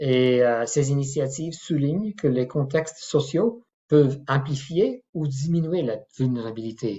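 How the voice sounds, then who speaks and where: A man's fairly high, somewhat breathy voice, fairly slow in pace, with ordinary pitch variation. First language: not French (French is his third language) (speaking French). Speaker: professor and clinical ethicist. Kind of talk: lecture. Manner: halting, many hesitations.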